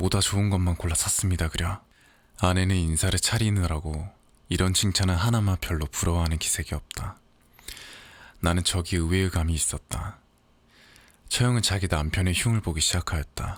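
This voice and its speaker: A soft-spoken man talks in a very deep, low pitch with a gentle tone and a somewhat breathy sound. He leaves long, frequent pauses on a very clean recording with a silent background. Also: fairly even intonation, moderate pace. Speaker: audiobook narrator. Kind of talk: sleep story reading of literary fiction. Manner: soft-spoken, gentle.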